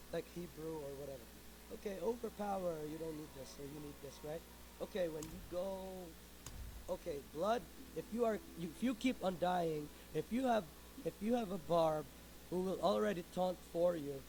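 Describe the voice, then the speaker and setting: Lively intonation and big swings in loudness mark this man's high-pitched voice. He keeps a moderate pace with long, frequent pauses. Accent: Filipino. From Philippines. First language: Filipino. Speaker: video game streamer. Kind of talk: tutorial. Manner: halting.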